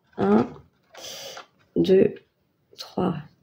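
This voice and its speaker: A very slow, somewhat breathy woman's voice with a dark, mellow tone. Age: 30s. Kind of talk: casual talk to camera. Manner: casual, hesitant with many fillers.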